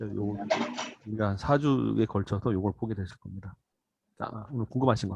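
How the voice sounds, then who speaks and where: Long, frequent pauses break up a man's fairly quick speech. His pitch is fairly low, with ordinary pitch variation. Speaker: church Bible teacher. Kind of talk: lecture. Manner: fast.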